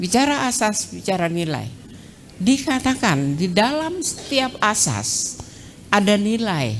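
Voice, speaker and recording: In a room with audible echo, a woman's shrill voice makes very wide pitch swings at a fairly slow pace. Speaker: law professor. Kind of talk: lecture. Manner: brisk.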